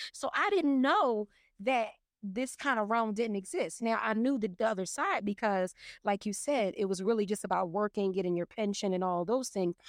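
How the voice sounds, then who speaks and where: A woman speaks at a moderate pace in a fairly high pitch, with ordinary pitch variation. Her loudness stays very even, and it is an ordinary speaking voice. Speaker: professional organizer and mental health professional. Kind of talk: casual chat.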